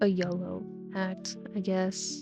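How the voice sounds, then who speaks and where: A woman's voice over background music. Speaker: online video content creator. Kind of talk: casual Q&A talk to camera.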